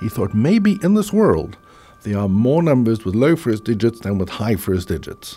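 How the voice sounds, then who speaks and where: A man with a South African accent at a moderate pace, music playing in the background. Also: medium pitch for a man. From Cape Town, South Africa. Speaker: business school professor.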